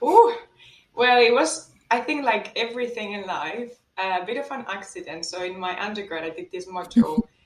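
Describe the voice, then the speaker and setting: Pitching fairly high, a woman speaks with a Spanish accent and very wide pitch swings. Her loudness rises and falls sharply. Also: moderate pace. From Spain. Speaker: economics lecturer. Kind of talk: podcast interview.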